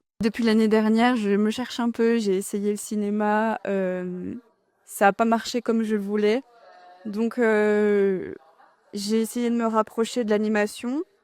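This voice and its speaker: A woman at a very slow pace, with monotone, flat intonation. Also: fairly high pitch for a woman. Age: 20s. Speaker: young civic service volunteer. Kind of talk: interview answers. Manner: hesitant, many fillers.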